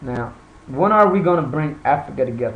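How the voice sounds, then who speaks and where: Room echo is audible as a man speaks at a moderate pace. His pitch is fairly high, with ordinary variation. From Ethiopia until age 6, then raised in US. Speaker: vlogger, website founder. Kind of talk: casual talk to camera. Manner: halting, many fillers and repeats.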